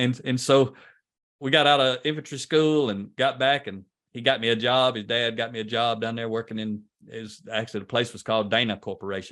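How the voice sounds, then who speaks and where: With a Southern US accent, a man talks at a fairly quick pace in a medium pitch with fairly even intonation. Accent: Southern US country. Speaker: leadership trainer. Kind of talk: podcast interview.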